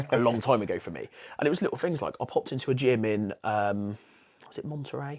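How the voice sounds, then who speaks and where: Talking at a very fast pace, a man sounds animated. He has a Bristolian accent. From England, Bristol. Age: 30s. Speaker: jiu-jitsu brown belt and teacher. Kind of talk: casual podcast chat.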